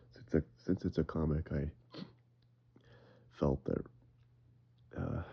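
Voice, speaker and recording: A man's very deep, low-pitched voice with vocal fry, fairly even intonation and a moderate pace. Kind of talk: casual talk to camera. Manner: breathless, halting reading.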